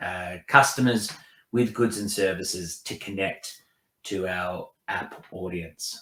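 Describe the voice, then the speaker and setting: A man speaks very slowly with an Australian accent, his pitch fairly low and his tone bright and sharp. His intonation is fairly even, while his loudness swings widely. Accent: thick Australian. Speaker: tech company executive. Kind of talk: presentation.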